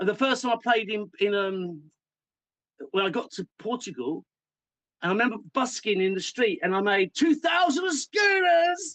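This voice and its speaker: A man speaks in an English accent at an extremely high pitch with very wide pitch swings. The sound is dry and close with no echo. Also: moderate pace. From England. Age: 50s. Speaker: musician. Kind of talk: interview. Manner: halting, many false starts.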